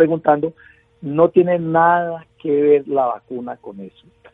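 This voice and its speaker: With music playing behind him, this man's voice sits fairly high. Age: 60s. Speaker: patient advocate and journalist. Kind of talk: radio interview. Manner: halting.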